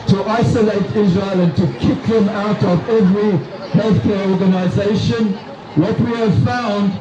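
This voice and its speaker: Amid crowd noise and audible room echo, a man with a South African accent speaks at a high pitch. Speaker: retired doctor, activist speaker. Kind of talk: rally speech. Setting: outdoors at a protest rally.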